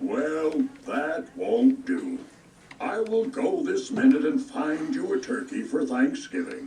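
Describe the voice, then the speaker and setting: A man puts on a character voice at an extremely high pitch, with very wide pitch swings at a fairly slow pace. Clear background noise runs underneath. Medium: read story. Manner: warm, gentle.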